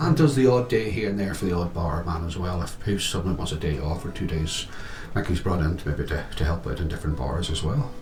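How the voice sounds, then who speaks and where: Over noticeable background noise and audible room echo, a man with a Northern Irish accent speaks at a fairly quick pace in a very deep, low pitch with lively intonation. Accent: Northern Irish (Tyrone). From Northern Ireland, Omagh. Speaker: internet radio host. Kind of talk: casual interview.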